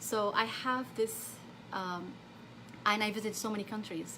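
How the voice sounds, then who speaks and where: In an Arabic accent, a woman speaks at a fairly high pitch. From Saudi Arabia. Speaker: therapist. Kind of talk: live stream talk. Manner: halting.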